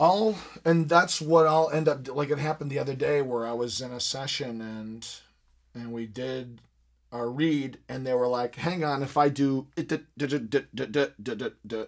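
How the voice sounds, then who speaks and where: A man's unremarkable speaking voice with an American accent, fairly high pitch, moderate pace, ordinary pitch variation and big swings in loudness, on a very clean recording with a silent background. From US Midwest, Michigan. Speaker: podcast host, voice actor. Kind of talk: casual interview. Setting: studio.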